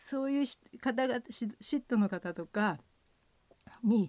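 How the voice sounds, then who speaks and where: A dark, mellow tone with lively intonation comes through in a dry, close sound with no echo and a very clean recording with a silent background. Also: woman. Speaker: former cross-country skier and ski coach. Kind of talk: radio interview.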